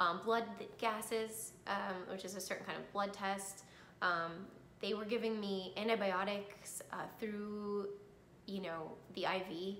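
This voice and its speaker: At a very slow pace, a woman talks in a monotone, flat intonation, with audible room echo and light background noise. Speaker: cancer survivor sharing her story. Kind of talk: personal testimony vlog. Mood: calm, reflective, earnest. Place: home room. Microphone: phone near.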